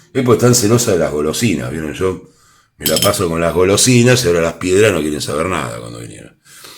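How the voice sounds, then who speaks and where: In a Rioplatense accent, the voice races at a very fast pace with vocal fry, very wide pitch swings and big swings in loudness. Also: man, very deep, low pitch for a man. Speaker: tarot reader. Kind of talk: tarot reading to camera. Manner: playful, animated.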